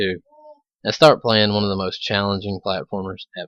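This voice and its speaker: A man with an Alabama accent speaks at a fairly quick pace. His fairly low voice has a dry, close sound with no echo. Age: 20s. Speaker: gaming video creator. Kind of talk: let's play commentary.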